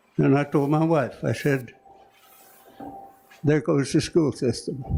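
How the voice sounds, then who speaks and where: Over noticeable background noise, a man with a fairly high pitch speaks at a fairly slow pace, his loudness very even and his intonation fairly even. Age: 90s. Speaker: member of the public at board meeting. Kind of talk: public comment.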